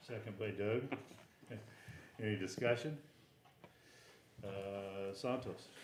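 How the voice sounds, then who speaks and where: Against noticeable background noise and audible room echo, a fairly low-pitched man speaks at a very slow pace with fairly even intonation and long, frequent pauses. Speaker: board chairman. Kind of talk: formal meeting chairing. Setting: board meeting livestream. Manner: formal; stumbling this morning.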